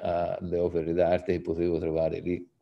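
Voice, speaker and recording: A man talks at a moderate pace in a very deep, low pitch. The background is quiet. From Tuscany, Italy (Poggibonsi); Tuscany. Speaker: arts association president; panelist. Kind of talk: panel talk. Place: home room. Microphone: video call.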